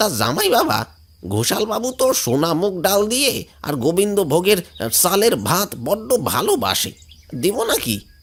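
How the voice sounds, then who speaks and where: A man puts on a cartoonish character voice with a high pitch. He speaks at a moderate pace with very wide pitch swings. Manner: chatty, folksy.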